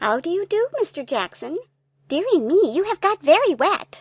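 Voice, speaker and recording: A woman puts on a squeaky character voice at an extremely high pitch. Her pitch swings very wide at a moderate pace. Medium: read story. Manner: prim, proper.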